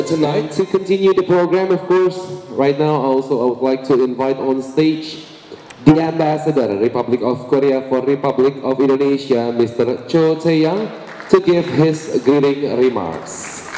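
A man speaks at a fairly high pitch. There is audible room echo and light background noise. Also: ordinary pitch variation, moderate pace. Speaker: master of ceremony. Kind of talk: event emcee hosting. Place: hall. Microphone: pa.

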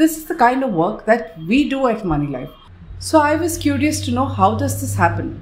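A woman speaks at a moderate pace with vocal fry. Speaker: journalist commentator. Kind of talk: commentary. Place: home room. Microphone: webcam.

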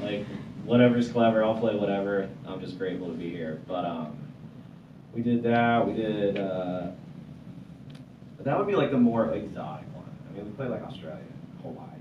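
A man's fairly low voice at a moderate pace, with ordinary pitch variation, long, frequent pauses and noticeable background noise. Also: big swings in loudness. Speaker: guest. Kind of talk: interview answer. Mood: relaxed, amused storytelling. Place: studio. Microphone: handheld.

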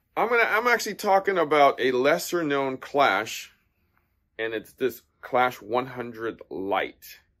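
A man talks at a very slow pace, with a quiet background behind him. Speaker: tennis shop owner reviewer. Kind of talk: casual product review vlog. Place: shop. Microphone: phone near.

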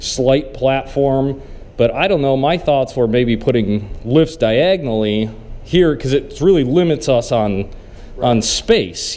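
Lively intonation marks this man's speech. He talks at a fairly slow pace. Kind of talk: casual vlog chat. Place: garage. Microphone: phone near.

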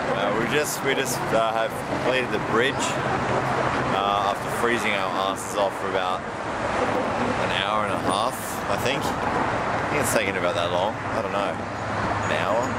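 Loud background noise surrounds a man speaking at a fairly slow pace, the sound dry with no echo. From Australia. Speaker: traveller vlogger. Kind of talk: casual travel vlog talk. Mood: dry, joking, tired. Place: street. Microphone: phone near.

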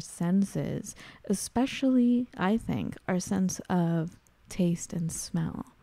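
On a very clean recording with a silent background, a woman speaks at medium pitch in a dark, mellow tone with ordinary pitch variation. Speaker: podcast co-host. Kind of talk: casual chat.

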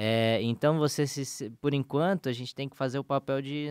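In an ordinary speaking voice, a man talks at a moderate pace with a medium pitch and fairly even intonation. The sound is dry with no echo, and the background is quiet. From São Paulo, Brazil. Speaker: podcast co-host, pastor. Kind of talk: casual religious discussion. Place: studio. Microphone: studio mic.

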